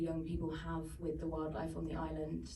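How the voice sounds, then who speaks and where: A woman with a British accent speaks amid noticeable background noise and audible room echo. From UK. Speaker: documentary filmmaker. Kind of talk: panel Q&A after screening.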